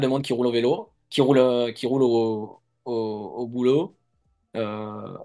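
With music in the background, a man speaks at a very slow pace. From Provence, southern France. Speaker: former mountain bike racer, product manager. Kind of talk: interview. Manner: hesitant, many fillers.

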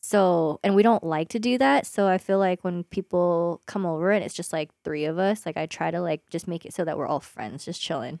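On a very clean recording with a silent background and a dry, close sound with no echo, a woman talks in an ordinary speaking voice at a fairly quick pace, with fairly low pitch and ordinary pitch variation. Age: 20s. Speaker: nurse. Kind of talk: casual chat.

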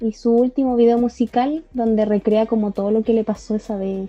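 Speaking fairly quickly with hardly any pauses, a woman with a Chilean accent keeps a fairly high pitch and fairly even intonation over music in the background. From southern Chile. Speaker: podcast co-host, LGBTIQ+ activist. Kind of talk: casual chat.

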